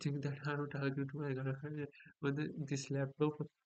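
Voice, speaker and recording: With an Indian accent, a man talks at a moderate pace in a fairly high pitch. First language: Hindi. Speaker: vlogger. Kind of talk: casual vlog monologue. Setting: home at night, laptop recording. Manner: halting.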